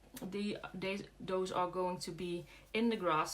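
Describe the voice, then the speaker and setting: A woman with a Dutch accent speaks at a medium pitch. Her pace is very slow. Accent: Dutch accent, soft G. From Netherlands, Brabant. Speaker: craft demonstrator. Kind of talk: live craft tutorial. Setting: livestream. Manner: hesitant, many fillers.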